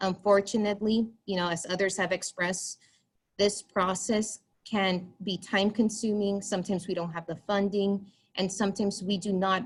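Somewhat breathy and flat in intonation, a woman speaks at medium pitch and a moderate pace. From US-Mexico border, Texas. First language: Spanish. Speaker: school psychologist. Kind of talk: public comment. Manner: halting.

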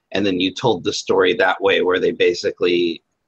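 A man speaks against a quiet background. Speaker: podcast panelist. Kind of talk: casual discussion about anime. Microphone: video call.

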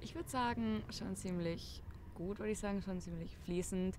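Her voice is fairly low for a woman, with ordinary pitch variation and a fairly quick pace. The sound is dry with no echo, over light background noise. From Germany. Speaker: former exchange student. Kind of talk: casual chat. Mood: relaxed, reflective. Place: garden.

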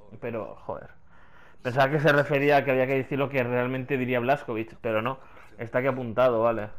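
A man's medium-pitched voice in a Castilian accent, at a fairly quick pace. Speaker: gaming youtuber. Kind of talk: let's play commentary. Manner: animated.

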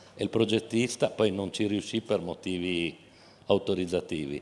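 At a moderate pace, a man with a very deep, low pitch speaks with ordinary pitch variation. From Genoa, Liguria; Liguria. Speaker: company chairman; guest. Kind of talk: panel discussion. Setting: outdoor festival stage with audience. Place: stage. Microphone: handheld.

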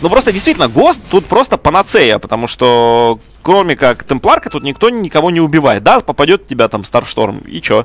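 A man's fairly high voice at a moderate pace, with very wide swings in pitch. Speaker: esports commentator. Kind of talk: live commentary.

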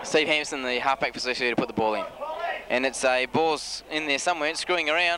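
A man at a very fast pace with very wide pitch swings, dry sound with no echo, and noticeable background noise. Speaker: amateur match commentator. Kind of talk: sports commentary. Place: open country. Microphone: old recording.

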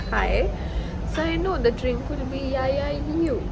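The speech moves at a moderate pace. Loud background noise is present. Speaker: food vlogger. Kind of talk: casual vlog chat. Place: cafe. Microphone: phone near.

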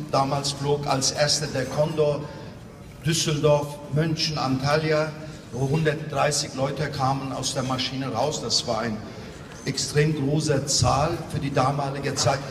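Over noticeable background noise, a man with a fairly high pitch speaks at a very slow pace in a monotone, flat intonation. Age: 60s. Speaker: tourism industry representative. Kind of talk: interview; gala speech. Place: hall.

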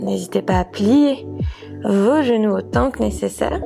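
A woman speaks at a fairly slow pace. Music plays clearly behind her. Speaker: yoga instructor. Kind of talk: guided yoga class instruction.

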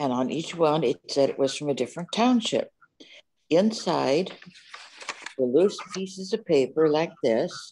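The intonation is lively. The pace is moderate. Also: woman. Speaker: guest. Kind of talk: presentation talk. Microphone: webcam.

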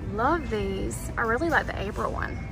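A woman with vocal fry speaks at medium pitch and a fairly slow pace, her intonation lively, over loud background music.

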